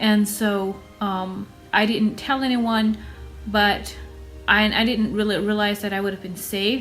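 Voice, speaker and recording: With music in the background, a woman with an American accent speaks at a fairly slow pace in a medium pitch, her intonation monotone and flat. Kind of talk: casual talk to camera.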